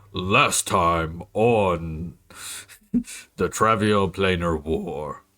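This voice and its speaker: A man uses a put-on character voice, very deep and low-pitched, at a very slow pace. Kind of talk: dramatic, announcer-like. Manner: dramatic, epic.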